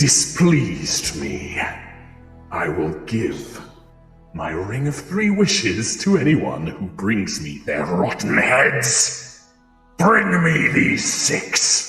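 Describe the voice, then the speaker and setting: Booming and medium in pitch, a man puts on a character voice with very wide pitch swings, with a clear echo and faint music in the background. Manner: menacing, commanding.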